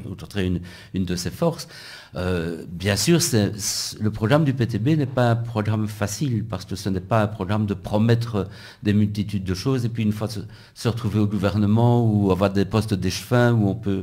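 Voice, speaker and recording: A man's voice has a dark, mellow tone. It sits at a fairly low pitch. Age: 60s. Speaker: physics professor and election candidate. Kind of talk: radio interview. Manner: halting, with repetitions.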